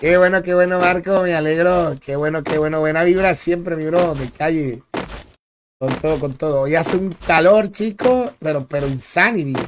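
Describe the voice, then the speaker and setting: High pitch from a man, at medium speed, with normal variation in tone. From Dominican Republic. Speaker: gaming streamer. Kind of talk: live gameplay commentary. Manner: animated.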